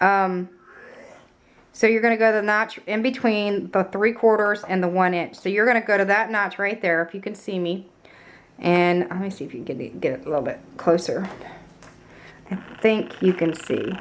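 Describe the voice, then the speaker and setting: A woman at medium pitch, moderate in pace, with ordinary pitch variation and long, frequent pauses. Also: big swings in loudness. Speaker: craft tutorial maker. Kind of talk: tutorial. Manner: hesitant, many ums.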